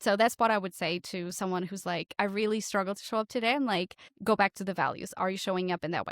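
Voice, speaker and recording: Very fast and with fairly even intonation, a woman with a slight Portuguese accent speaks at a medium pitch, recorded dry and close with no echo in a very clean, silent setting. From Portugal. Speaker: podcast coach. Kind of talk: interview conversation.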